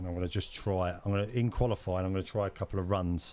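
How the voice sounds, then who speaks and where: Recorded very cleanly with a silent background, a man with a very deep, low pitch speaks at a moderate pace with fairly even intonation. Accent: London. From London. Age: 30s. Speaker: gaming streamer. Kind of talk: live gameplay commentary.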